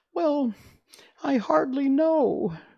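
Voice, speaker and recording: A man performs a put-on character voice. It sounds squeaky. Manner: flustered, rattled.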